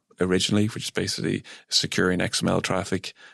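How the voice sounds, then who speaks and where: On a very clean recording with a silent background and a dry, close sound with no echo, a man with an Irish accent speaks at a fairly low pitch with fairly even intonation. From Ireland. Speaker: software engineering executive. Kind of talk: radio interview.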